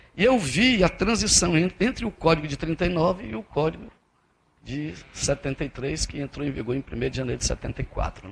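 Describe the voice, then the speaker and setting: Delivered at a fairly quick pace, the voice carries vocal fry and moves through very wide pitch swings. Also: man, fairly high pitch for a man. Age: 50s. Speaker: federal appellate judge. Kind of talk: keynote lecture. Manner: conversational, with frequent repetitions and false starts.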